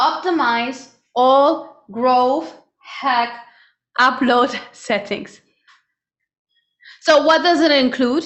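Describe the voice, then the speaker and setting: A woman with a German accent, high-pitched, at a very slow pace with long, frequent pauses, very even loudness, ordinary pitch variation and audible room echo. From Germany. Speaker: online business coach. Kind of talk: live webinar. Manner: animated.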